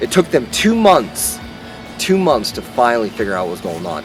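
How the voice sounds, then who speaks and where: Noticeable background noise runs under speech that moves fairly quickly. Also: man. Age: 20s. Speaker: fitness vlogger and army veteran. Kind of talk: personal testimony to camera. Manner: casual, with frequent fillers and restarts.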